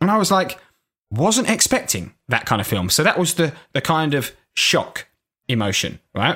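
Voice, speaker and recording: A man's fairly high voice with a bright, sharp tone, vocal fry, very wide pitch swings and very even loudness, at a moderate pace, in a very clean recording with a silent background. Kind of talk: casual banter between friends, podcast. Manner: joking, laughs a lot.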